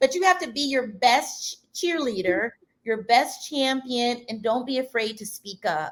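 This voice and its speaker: A woman's high voice with a Detroit accent, at a fairly slow pace, with very wide pitch swings and big swings in loudness. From Detroit, Michigan. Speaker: design event organizer. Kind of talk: interview. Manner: loud, animated.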